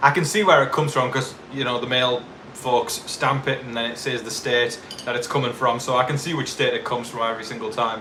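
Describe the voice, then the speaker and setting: Over noticeable background noise and audible room echo, a man speaks in an animated tone at a fairly quick pace with ordinary pitch variation. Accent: northeast English. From northeast England. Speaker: YouTube TV show commentator. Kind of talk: live stream chat. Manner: casual, animated.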